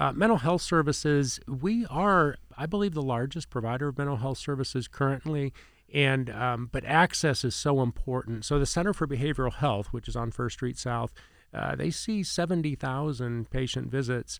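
Over a silent background on a very clean recording, a man with an American accent speaks at a moderate pace in a normal speaking voice. His pitch is fairly high and varies in an ordinary way. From Indiana, US Midwest. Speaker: hospital president. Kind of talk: podcast interview. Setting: studio.

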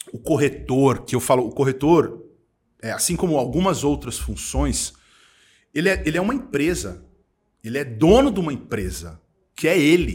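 Lively and animated, a man speaks with a fairly high voice and vocal fry. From São Paulo, East Zone. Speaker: entrepreneur, events agency owner. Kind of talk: casual interview chat.

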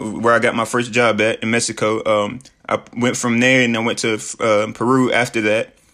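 A man's medium-pitched voice has a bright, sharp tone and monotone, flat intonation. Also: moderate pace. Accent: Southern US. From US South, Tennessee. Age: 20s. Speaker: motivational podcaster. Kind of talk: motivational talk. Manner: casual, many fillers.

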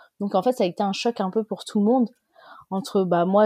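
The woman's tone is dark and mellow, with fairly even intonation. The sound is dry and close, with no echo. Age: 30s. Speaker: mother interviewed about lockdown. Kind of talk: casual interview.

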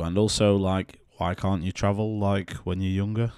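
This man's pitch is very deep and low. He keeps to a moderate pace. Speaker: podcast co-host. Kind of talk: casual chat. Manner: joking, self-deprecating.

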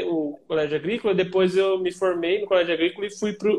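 Fairly even intonation in a man's high voice. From Paraná, Brazil (small town near Umuarama). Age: 20s. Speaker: video editor. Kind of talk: casual chat. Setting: video call from a small room at home. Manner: halting, many fillers and repetitions.

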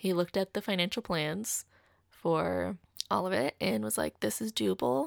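On a very clean recording with a silent background and a dry, close sound with no echo, a woman speaks at a fairly quick pace with vocal fry and very wide pitch swings. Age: 30s. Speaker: podcast host. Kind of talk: casual monologue. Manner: animated.

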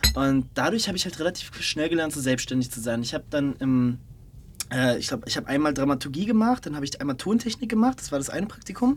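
Noticeable noise sits behind the speech. The delivery is very fast. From Berlin. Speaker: podcast host. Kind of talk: casual interview.

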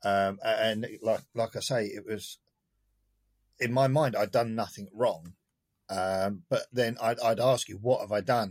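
A man talks in a plain, everyday voice at a medium pitch with fairly even intonation. His fairly slow pace comes through in a very clean recording with a silent background. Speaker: partner of the host. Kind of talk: casual chat.

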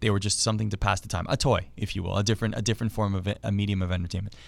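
A man speaks with a fairly low pitch. The recording is very clean, with a silent background. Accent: Canadian. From Canada (Ontario). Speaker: hockey and esports broadcaster. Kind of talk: casual interview. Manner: hesitant with many fillers.

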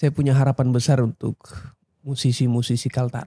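A man speaks in a somewhat breathy, dark and mellow voice at medium pitch, with flat, monotone intonation and a dry, close sound with no echo. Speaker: singer. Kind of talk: casual chat. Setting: studio.

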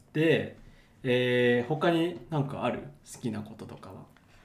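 Noticeable background noise and audible room echo around a male voice of medium pitch, its pitch variation ordinary. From Japan, Yokohama. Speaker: podcast host. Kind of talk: scripted outro; casual chat.

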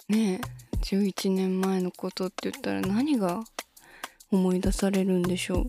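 A woman speaks at a medium pitch and a moderate pace with fairly even intonation. The sound is dry and close, with no echo. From Shizuoka, Japan. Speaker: idol singer. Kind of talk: solo podcast talk. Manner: low-key.

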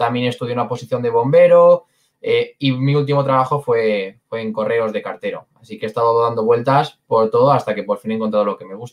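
Moving at a fairly quick pace, an ordinary speaking voice shows ordinary pitch variation. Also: man, medium pitch for a man. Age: 20s. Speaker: sales closer. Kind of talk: interview.

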